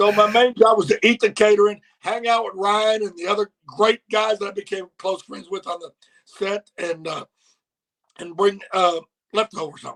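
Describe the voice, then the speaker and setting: With a Memphis accent and a high pitch, the man talks at a moderate pace with fairly even intonation and big swings in loudness, the sound dry and close with no echo. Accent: Southern US (Memphis). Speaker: former wrestling manager. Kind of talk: casual chat.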